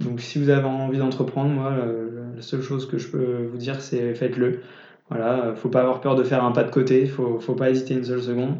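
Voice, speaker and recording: Monotone, flat intonation marks this man's fairly quick speech. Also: medium pitch for a man. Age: 20s. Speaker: young entrepreneur, startup founder. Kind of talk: casual interview. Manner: halting, frequent repetitions.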